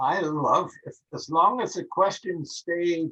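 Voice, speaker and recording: A man's fairly high-pitched voice with an Upper Midwest accent, dry and close with no echo. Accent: Upper Midwest American. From Minnesota, Minneapolis. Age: 80s+. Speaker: birding author and instructor. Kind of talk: interview.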